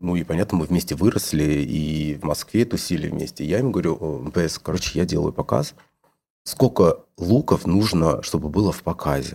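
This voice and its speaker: A man speaks at a moderate pace in a very deep, low voice with ordinary pitch variation. His tone is dark and mellow. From Georgia, Tbilisi. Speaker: fashion designer. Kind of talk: casual interview chat.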